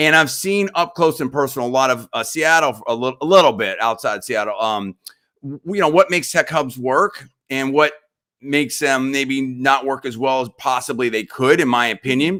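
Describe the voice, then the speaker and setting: A man's bright, sharp, animated voice at medium pitch, with ordinary pitch variation. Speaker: podcast host and former radio and TV host. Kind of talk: interview. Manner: fast.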